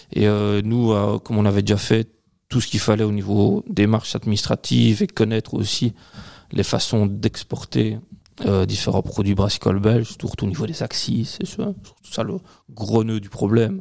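A man speaks in a plain, everyday voice at a fairly low pitch. His pace is moderate and his intonation fairly even. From Belgium, Liège region (Waremme). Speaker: beer importer and beer specialist. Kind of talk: casual chat. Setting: studio, filmed podcast recording.

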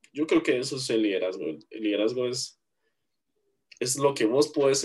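A man speaks with a Guatemalan accent at a fairly slow pace. His pitch is medium, with ordinary variation. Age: 20s. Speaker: university student and church worship drummer. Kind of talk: interview.

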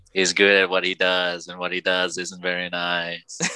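A man puts on a character voice that is very deep, low and raspy. He keeps a monotone, flat intonation at a moderate pace. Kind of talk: complaining. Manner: angry, irritable.

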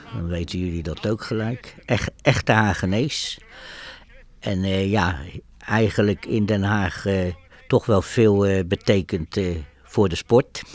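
A man speaks at a very slow pace. His voice is fairly low, with ordinary pitch variation. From Netherlands, The Hague. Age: 70s. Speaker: Holocaust survivor. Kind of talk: interview testimony. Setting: coffee room. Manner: hesitant, many filler words.

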